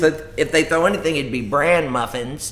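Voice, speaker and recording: A man with an American accent speaks at a moderate pace. His is an unremarkable speaking voice with ordinary pitch variation. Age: 60s. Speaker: comedian. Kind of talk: casual chat. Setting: live stream from home.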